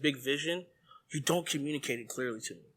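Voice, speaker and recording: A man speaks loudly in an animated, bright, sharp tone. The recording is very clean, with a silent background. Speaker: church leader, podcast co-host. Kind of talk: casual chat.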